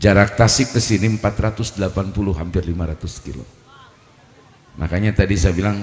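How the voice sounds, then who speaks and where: Pitched very deep and low, a man speaks at a fairly quick pace with ordinary pitch variation. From Banten, Indonesia (Pandeglang). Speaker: Islamic preacher. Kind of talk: humorous religious sermon. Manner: animated. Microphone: echo added, bass reduced.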